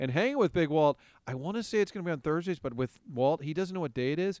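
Speaking at a fairly quick pace, a man with an ordinary speaking voice and ordinary pitch variation sounds dry and close with no echo, in a very clean recording with a silent background. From Kansas City. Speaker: sports broadcaster. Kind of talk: casual chat.

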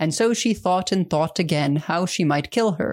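At a moderate pace comes a plain, everyday voice. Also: woman. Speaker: podcast host. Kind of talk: fairy-tale reading aloud, storytelling narration; casual conversational podcast discussion.

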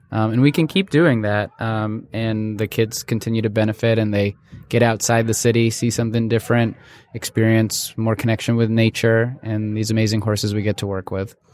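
With an American accent, a man speaks fairly quickly at a medium pitch in a flat monotone. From US Northeast, suburban New York (Westchester County). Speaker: nonprofit founder. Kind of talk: interview. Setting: studio.

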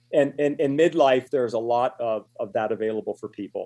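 At a fairly quick pace, a man speaks with a dark, mellow tone, medium pitch, and ordinary pitch variation against a quiet background. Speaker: magazine publishing executive and author. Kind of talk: radio interview.

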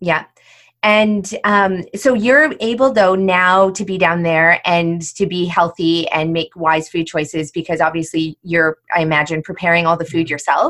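Her pace is fairly slow and her pitch fairly low, with ordinary variation. This woman has a normal speaking voice. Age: 40s. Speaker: podcast host. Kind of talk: interview.

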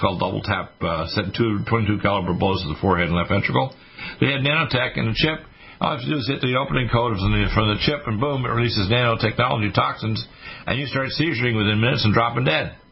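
Over noticeable background noise, a man with a fairly low pitch speaks at a very fast pace with lively intonation. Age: 60s. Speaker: radio host. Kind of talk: talk radio monologue. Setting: studio. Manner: animated.

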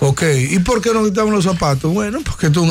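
A man talks at a very fast pace with very wide pitch swings. Noticeable background noise runs behind him. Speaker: pastor and radio co-host. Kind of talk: casual chat.

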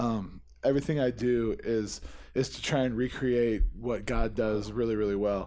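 A man with an American accent speaks at a moderate pace and a medium pitch. His tone is dark and mellow, his intonation fairly even. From Missouri. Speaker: marijuana grower. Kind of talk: casual chat.

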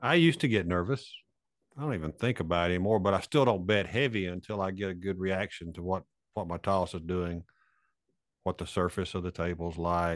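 Over a quiet background, a man talks at a moderate pace. His very deep, low pitch shows ordinary variation. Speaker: co-host, craps coach. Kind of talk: casual chat. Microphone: good-sounding mic.

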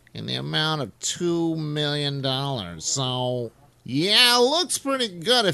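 A man puts on a character voice at a fairly high pitch. He speaks at a very slow pace with very wide pitch swings.

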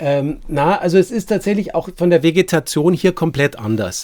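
With a Bavarian accent, a man speaks at a fairly slow pace using lively intonation. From Bavaria, Munich. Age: 50s. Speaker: landscape painter. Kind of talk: casual chat.

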